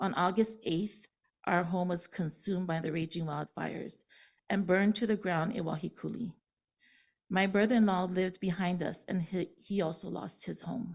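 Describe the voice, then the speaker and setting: With a Hawaiian accent, a woman speaks at a moderate pace in a somewhat breathy voice on a very clean recording with a silent background. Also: medium pitch for a woman, fairly even intonation. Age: 60s. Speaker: public testifier, fire survivor. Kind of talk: public testimony. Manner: halting, many fillers.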